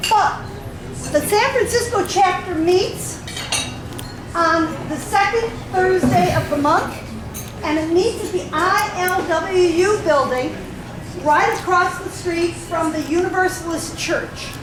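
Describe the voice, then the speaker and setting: A woman speaks loudly at an extremely high pitch with ordinary pitch variation, very slowly and with long, frequent pauses. There is audible room echo and noticeable background noise. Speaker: retiree advocacy group officer. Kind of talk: speech to a meeting. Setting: meeting room with audience, no microphone. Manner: interactive, asks the audience questions.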